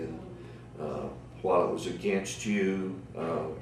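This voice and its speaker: A man speaks with an American accent. Noticeable background noise and audible room echo surround his voice. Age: 60s. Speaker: navy veteran. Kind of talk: oral history interview. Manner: halting, many fillers.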